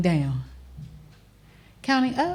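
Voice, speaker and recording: A woman speaks in a somewhat breathy voice with very wide pitch swings. The recording is very clean, with a silent background. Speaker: TV show host and image consultant. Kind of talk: studio talk show monologue. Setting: studio.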